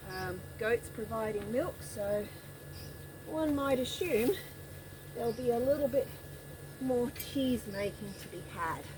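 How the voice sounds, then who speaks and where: With an Australian accent and lively intonation, a woman speaks at a fairly high pitch, leaving long, frequent pauses over noticeable background noise. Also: fairly slow pace. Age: 60s. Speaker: smallholder, goat keeper and gardener. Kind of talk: casual vlog narration. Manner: casual, with fillers.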